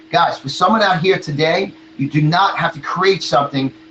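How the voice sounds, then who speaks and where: A man with a fairly high pitch talks as noticeable background noise plays behind him. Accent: American. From New York. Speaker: motivational speaker and marketing coach. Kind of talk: motivational talk in interview. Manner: animated.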